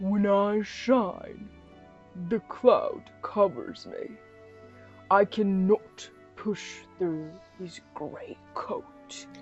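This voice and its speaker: Over clear background music, a woman uses a put-on character voice at a medium pitch. She talks at a very slow pace with long, frequent pauses. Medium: read story. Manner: proud, gracious.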